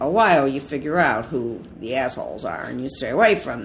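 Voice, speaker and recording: Lively intonation in an Ohio accent. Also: woman. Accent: Northern US, Ohio, similar to host. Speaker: author. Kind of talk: interview conversation.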